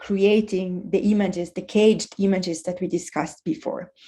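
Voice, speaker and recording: A woman's dark, mellow monotone at a moderate pace, flat in intonation, over a quiet background. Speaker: presenter on futures literacy. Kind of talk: presentation. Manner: hesitant, many fillers.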